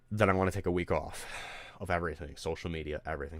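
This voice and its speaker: A man with an American accent talks at a very fast pace in a very deep, low voice with fairly even intonation, captured on a very clean recording with a silent background. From Detroit area, Michigan. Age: 20s. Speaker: streamer and musician. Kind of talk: casual livestream chat.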